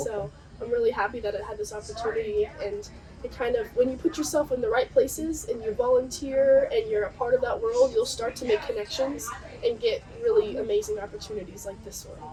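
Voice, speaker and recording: A woman with an American accent talks at a fairly quick pace in an upbeat tone. Her loudness swings widely, and there is noticeable background noise. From Southern California. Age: 20s. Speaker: naturalist, marine biology student. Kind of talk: interview answer.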